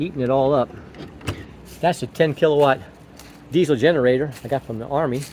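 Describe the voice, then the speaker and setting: A man with a medium pitch and ordinary pitch variation talks at a fairly quick pace. He leaves long, frequent pauses, and there is noticeable background noise. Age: 60s. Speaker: hobby gardener and RV builder. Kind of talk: casual garden tour vlog. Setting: outdoors in garden. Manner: casual, halting with repetitions.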